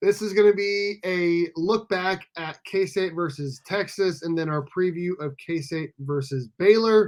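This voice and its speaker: A man with a high voice speaks at a fairly slow pace with hardly any pauses and ordinary pitch variation. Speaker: podcast host. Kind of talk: casual chat.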